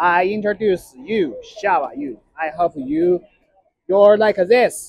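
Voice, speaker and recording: A man with a Chinese accent talks in a high voice, his pitch swinging very widely. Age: 30s. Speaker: vlogger. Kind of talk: casual vlog. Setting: outdoors and in a restaurant. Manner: halting.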